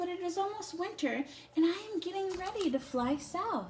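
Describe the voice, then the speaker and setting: Over clear background noise, a woman uses a put-on character voice at an extremely high pitch and a moderate pace. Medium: read story.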